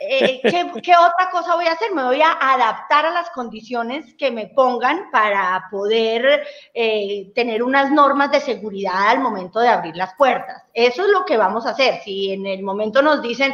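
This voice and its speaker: Against a quiet background, a woman with a high pitch speaks at a fairly slow pace, her pitch swinging very widely. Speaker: guest. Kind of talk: interview answer. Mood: earnest, a bit wistful. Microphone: video call.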